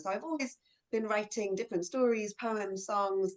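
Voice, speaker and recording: This woman has a medium pitch and speaks with a London accent. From southeast London. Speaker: children's author. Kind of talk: interview at virtual book launch.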